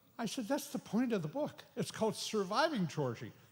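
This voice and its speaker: A man is speaking. His pitch swings very widely. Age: 80s+. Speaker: author giving away books at a conference. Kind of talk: announcement to conference audience.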